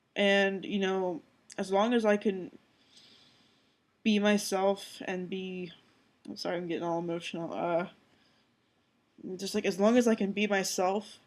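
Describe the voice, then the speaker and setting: At a fairly slow pace, a woman speaks with medium pitch and fairly even intonation. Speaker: video blogger. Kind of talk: personal vlog monologue.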